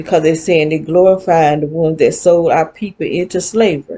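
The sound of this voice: A woman speaks at a moderate pace in a low voice with a dark, mellow tone, a slightly husky edge and fairly even intonation.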